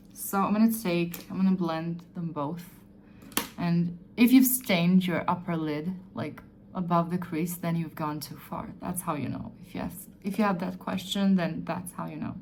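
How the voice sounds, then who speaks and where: A woman with a non-native accent speaks at a moderate pace and fairly low pitch, with ordinary pitch variation. Her loudness swings widely, and room echo is audible. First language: not English. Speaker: beauty vlogger. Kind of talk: tutorial. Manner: halting; casual.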